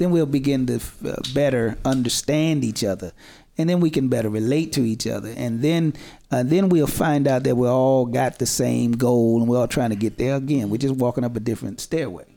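A man at a medium pitch with ordinary pitch variation and a moderate pace, over music in the background. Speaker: pastor.

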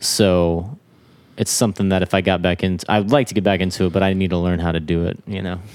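A man with a normal speaking voice, fairly low in pitch, at a fairly quick pace. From Florida. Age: 20s. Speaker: drummer. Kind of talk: casual chat.

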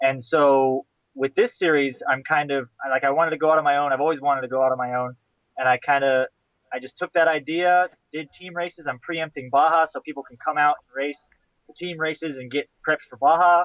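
Using an ordinary speaking voice, a man talks at a fairly quick pace with fairly high pitch, fairly even intonation and big swings in loudness. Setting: video call.

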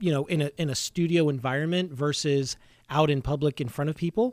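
A man with an ordinary speaking voice talks at a fairly high pitch and a moderate pace. His pitch varies in an ordinary way, and the recording is very clean with a silent background. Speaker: podcast host. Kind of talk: casual chat. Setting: studio.

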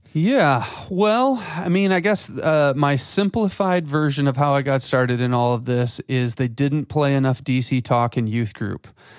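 A man with a fairly high pitch and lively intonation keeps a moderate pace with hardly any pauses and very even loudness. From West Michigan. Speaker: church creative director. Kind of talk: casual interview.

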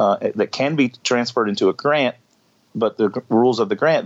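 In an unremarkable speaking voice, a man talks at a medium pitch and a fairly quick pace, with a dry, close sound with no echo. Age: 50s. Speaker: bar owner. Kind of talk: casual chat. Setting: video call.

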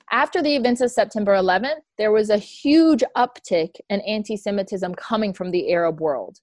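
A woman with an unremarkable speaking voice talks at a fairly high pitch, hardly pausing at all. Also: lively intonation, moderate pace. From Tennessee, US South. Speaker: executive director of an advocacy foundation. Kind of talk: interview testimony.

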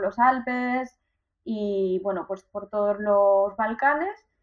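A woman's fairly slow delivery, a normal speaking voice with ordinary pitch variation. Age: 30s. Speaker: van-life traveller and cycle tourist. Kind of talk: interview.

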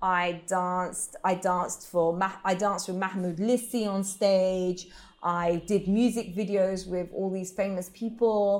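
A woman with a British accent speaks fairly slowly at a medium pitch with hardly any pauses, in a very clean recording with a silent background. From England. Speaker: belly dancer. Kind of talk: interview. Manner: animated.

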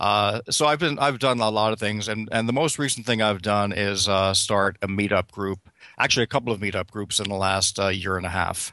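A man with an American accent, fairly low in pitch and bright and sharp in tone, with ordinary pitch variation, a fairly quick pace and hardly any pauses. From New York City. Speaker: meet-up organizer. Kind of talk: casual interview.

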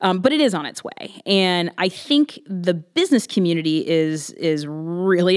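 Speaking at a moderate pace, a woman has a fairly low pitch and an American accent. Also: very clean recording, silent background. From Ohio, US Midwest. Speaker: executive director of a neighborhood arts district organization. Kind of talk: interview.

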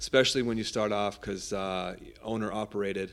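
Against a very clean, silent background, a man with an American accent speaks in a monotone, flat intonation. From Southern California, Orange County. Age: 40s. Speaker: pizza chef and food truck owner. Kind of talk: casual interview.

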